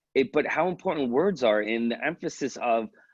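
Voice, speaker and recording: With a New York accent and lively intonation, the speaker goes at a fairly quick pace in a dry, close sound with no echo. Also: man. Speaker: police wellbeing expert. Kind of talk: webinar presentation. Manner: fast; animated.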